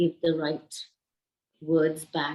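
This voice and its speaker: Speaking very slowly, a woman uses a fairly low pitch. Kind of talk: group sharing in online yoga session. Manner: halting, many fillers.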